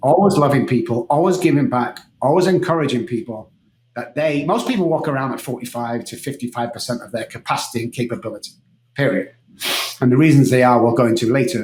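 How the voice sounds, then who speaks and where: Very fast and somewhat breathy, a man's voice shows big swings in loudness. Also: medium pitch for a man, ordinary pitch variation. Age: 60s. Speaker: neuroscience coach and recovered alcoholic. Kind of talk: podcast interview. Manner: animated.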